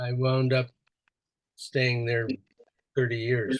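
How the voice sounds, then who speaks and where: Speaking very slowly with an American accent, a man uses a medium-pitched, somewhat breathy voice. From Wisconsin, USA. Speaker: Zen priest and teacher. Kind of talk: interview answer.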